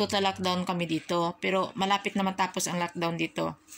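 A woman's medium-pitched voice at a fairly quick pace, over light background noise. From Philippines. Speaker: overseas worker vlogger. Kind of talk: opinion vlog monologue. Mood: somber, sad reflection. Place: home room. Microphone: phone near.

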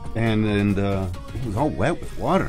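Clear music plays in the background. Over it, a man talks at a moderate pace. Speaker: sailor vlogger. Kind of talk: casual vlog chat. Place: boat. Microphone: phone near.

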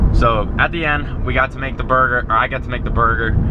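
A man's fairly quick speech competes with loud background noise. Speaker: car vlogger driving. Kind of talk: casual vlog chat. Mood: amused, casual storytelling. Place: car. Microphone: camera far.

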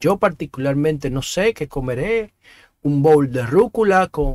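The voice moves with lively intonation at a fairly slow pace, in a dry sound with no echo and a quiet background. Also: man. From Dominican Republic. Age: 50s. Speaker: talk show host. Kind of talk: opinion monologue. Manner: halting, with frequent repetitions. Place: home room. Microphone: studio mic.

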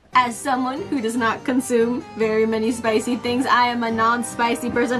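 At a moderate pace, a woman speaks with a high pitch. Clear music plays in the background. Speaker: anime creator. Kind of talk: casual vlog chat and tutorial. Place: home room.

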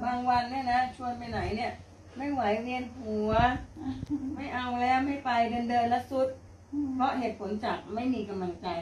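Audible room echo and light background noise surround the voice. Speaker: daughter of the veteran actress. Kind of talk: casual family conversation. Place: home room. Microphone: camera far.

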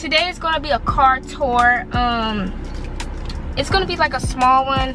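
The voice shows ordinary pitch variation, and the sound is dry with no echo. Clear music plays in the background. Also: woman. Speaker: vlogger. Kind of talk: casual vlog chat. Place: car. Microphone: phone near.

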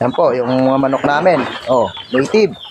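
There is noticeable background noise as a man with a fairly high pitch speaks at a moderate pace with ordinary pitch variation. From Negros Occidental, Philippines (Bacolod area). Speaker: vlogger. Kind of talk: casual vlog tour.

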